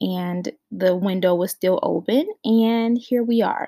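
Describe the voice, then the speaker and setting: A soft-spoken woman talks at a very slow pace, her medium pitch showing ordinary variation and her tone dark and mellow. The recording is very clean, with a silent background. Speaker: podcast host. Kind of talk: casual chat. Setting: in a closet at home.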